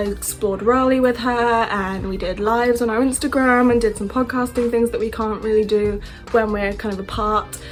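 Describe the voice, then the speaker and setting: A woman with a British accent, upbeat in tone, fairly high-pitched and fairly quick, with music in the background. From England. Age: 20s. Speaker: au pair. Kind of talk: casual talk to camera.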